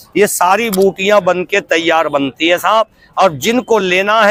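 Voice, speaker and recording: Noticeable background noise sits behind a man's high-pitched voice, which has ordinary pitch variation and a dry, close sound with no echo. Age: 60s. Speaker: street herbal medicine seller. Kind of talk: sales pitch.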